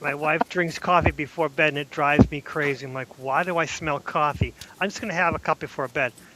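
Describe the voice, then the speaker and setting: With a Boston accent, a man talks at a fairly quick pace in a bright, sharp tone, his pitch varying in an ordinary way. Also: fairly high pitch for a man, hardly any pauses. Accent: thick Boston. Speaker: podcast co-host. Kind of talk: casual chat. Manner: animated.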